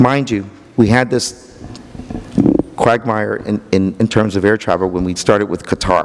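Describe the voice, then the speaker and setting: A voice with ordinary pitch variation is heard through noticeable background noise. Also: man. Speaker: county economic development official. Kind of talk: conference talk. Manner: halting, repeats words.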